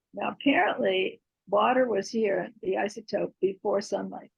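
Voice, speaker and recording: A woman speaks at medium pitch with ordinary pitch variation. Vocal fry runs through her voice. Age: 80s+. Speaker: eco artist. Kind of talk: Q&A after a talk.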